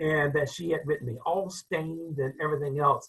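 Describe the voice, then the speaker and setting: A man's high-pitched, bright, sharp tone with an American accent. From US South, rural North Carolina (Enfield). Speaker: crowd safety expert and author. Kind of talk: interview storytelling. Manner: hesitant, with fillers.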